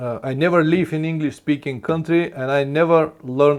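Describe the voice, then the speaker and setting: With a non-native accent, a man talks at a fairly slow pace in a fairly high-pitched voice. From Bulgaria. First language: Bulgarian. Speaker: motorcycle travel vlogger. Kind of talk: live stream Q&A. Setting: live stream. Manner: halting.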